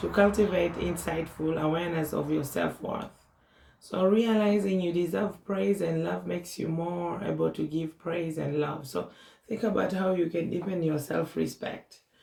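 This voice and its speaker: Noticeable background noise runs beneath speech delivered at a moderate pace. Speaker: tarot reader. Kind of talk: psychic tarot reading.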